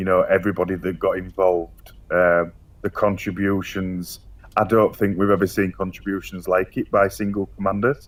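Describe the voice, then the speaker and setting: A man with a Yorkshire accent speaks at a moderate pace in a very deep, low voice, his intonation monotone and flat. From Yorkshire, northern England. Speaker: online gaming community organiser. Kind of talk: casual interview. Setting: voice chat. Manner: hesitant, many fillers.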